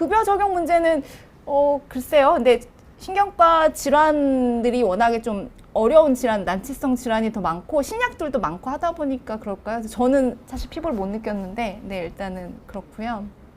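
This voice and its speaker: The voice shows very wide pitch swings and big swings in loudness, with noticeable background noise. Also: woman, high pitch for a woman. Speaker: neurologist. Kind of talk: live Q&A explaining medical topics. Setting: live broadcast. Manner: fast.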